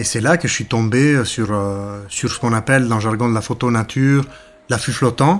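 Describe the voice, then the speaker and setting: A man talks at a medium pitch. He has a slight Ticino accent. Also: ordinary pitch variation, moderate pace. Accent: slight Ticino Italian-Swiss. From Ticino, southern Switzerland. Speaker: nature photographer. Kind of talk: interview narration. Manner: hesitant with frequent fillers.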